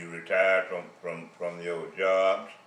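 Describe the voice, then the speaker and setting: With noticeable background noise and audible room echo, a man is speaking. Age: 80s+. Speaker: retired army veteran and postal worker. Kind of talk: monologue.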